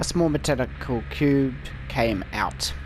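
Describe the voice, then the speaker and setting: A man's voice with music in the background and audible room echo. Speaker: gaming YouTuber. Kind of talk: reading aloud; casual chat. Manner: halting.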